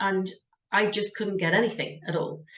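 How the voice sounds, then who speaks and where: Fairly quick speech from a woman with a British accent. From UK. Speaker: career coach, job search business owner. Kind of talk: interview.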